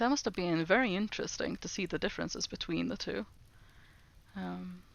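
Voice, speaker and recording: A woman's fairly quick speech with a Norwegian accent. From Norway. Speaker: streamer. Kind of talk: casual language-learning livestream. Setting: livestream.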